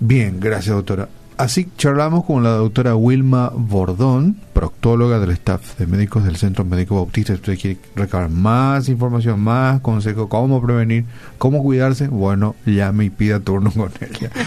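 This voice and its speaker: Moderate pace and ordinary pitch variation in a Paraguayan accent. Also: man, medium pitch for a man. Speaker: radio host. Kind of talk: radio interview. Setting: radio studio.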